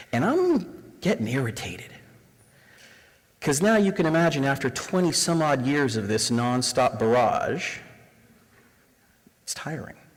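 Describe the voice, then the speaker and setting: Amid audible room echo, a man with a fairly high pitch and lively intonation speaks at a fairly slow pace, leaving long, frequent pauses. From Canada, Toronto area (Scarborough). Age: 40s. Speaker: diversity trainer. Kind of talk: lecture. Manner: animated.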